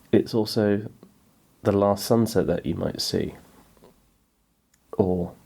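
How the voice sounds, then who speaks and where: Pausing long and often, a man talks at a very slow pace in a fairly low pitch, his tone dark and mellow and his intonation monotone and flat. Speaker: poetry podcast host. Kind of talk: reflective podcast monologue. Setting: small garage pub at home. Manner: hesitant, with fillers.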